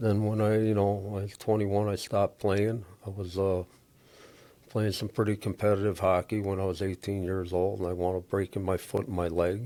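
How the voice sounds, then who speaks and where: A man's dark, mellow, fairly low voice at a fairly quick pace, monotone and flat, on a very clean recording with a silent background. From Chicago, US Midwest. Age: 60s. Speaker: auto recycling business owner. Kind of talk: interview conversation. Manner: casual, conversational.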